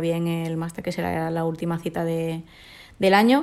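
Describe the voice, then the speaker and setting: This woman has a normal speaking voice, pitched fairly low, with fairly even intonation. She keeps a moderate pace on a very clean recording with a silent background. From Córdoba, Spain. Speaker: judoka. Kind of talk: interview.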